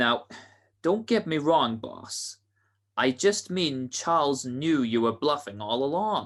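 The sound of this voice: Putting on a character voice, a man speaks slowly in a fairly bright tone. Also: medium pitch for a man, lively intonation.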